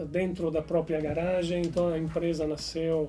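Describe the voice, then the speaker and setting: A man's high-pitched voice with an Italian accent. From Italy (raised and educated), born in São Paulo. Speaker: company CEO. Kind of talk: interview. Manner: hesitant, many fillers.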